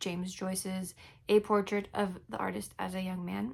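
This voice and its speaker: A woman mumbles. Her pace is moderate. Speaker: book vlogger. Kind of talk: casual vlog talk. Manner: mumbling; casual, halting.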